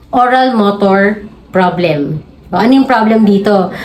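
A woman talks amid noticeable background noise and audible room echo. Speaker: pediatrician and parenting video creator. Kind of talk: educational tutorial. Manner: polite, uses respectful po.

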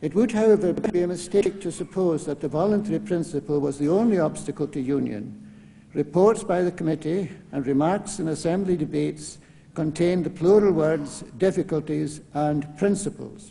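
The speaker is a man with a high pitch. It rises and falls in an ordinary way. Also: moderate pace. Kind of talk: lecture. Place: hall. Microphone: podium.

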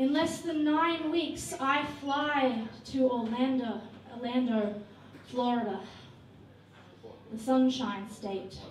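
With an Australian accent, a woman speaks in a high voice at a very slow pace, using ordinary pitch variation and long, frequent pauses, over light background noise and audible room echo. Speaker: spoken word poet. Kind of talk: performance poetry. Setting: stage at a hotel venue. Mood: grave, sorrowful, impassioned. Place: stage.

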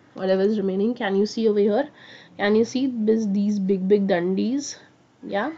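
Soft-spoken, a woman talks at a fairly quick pace with a medium pitch and ordinary pitch variation. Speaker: online science teacher. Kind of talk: live online class. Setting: live stream. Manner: animated; speaking softly.

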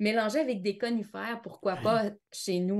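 Quiet background behind a woman at a fairly slow pace. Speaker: aromatherapist. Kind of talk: interview. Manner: animated.

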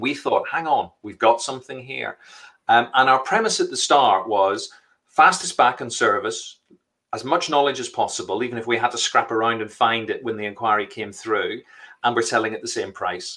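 A man with a Northern Irish accent at a moderate pace, with big swings in loudness and a quiet background. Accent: Northern Irish (Belfast). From Northern Ireland, Belfast. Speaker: entrepreneur; guest. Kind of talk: live interview. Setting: live stream. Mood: animated, cheerful. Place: home room. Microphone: video call.

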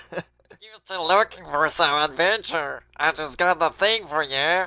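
Middle-pitched, put-on character voice. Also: fairly slow pace. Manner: eager, friendly, inviting.

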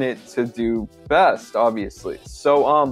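A man talks with ordinary pitch variation. Music plays faintly in the background. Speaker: online business tutor. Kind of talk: tutorial. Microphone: webcam.

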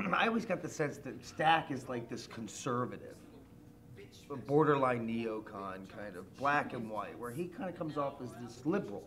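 A man talks at a moderate pace against light background noise. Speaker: stage actor. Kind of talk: interview answer. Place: hall.

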